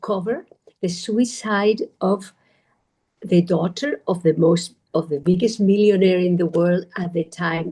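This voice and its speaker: Somewhat breathy and dark, mellow in tone, a woman with a Spanish accent speaks fairly slowly at a medium pitch with ordinary pitch variation. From Spain. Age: 40s. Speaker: meditation teacher. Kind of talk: talk. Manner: animated.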